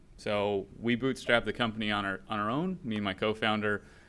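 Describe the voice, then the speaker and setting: This man's voice sits fairly low and moves at a fairly quick pace with fairly even intonation. The recording is very clean, with a silent background. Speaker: startup founder and CEO. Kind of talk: public comment at meeting. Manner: fast.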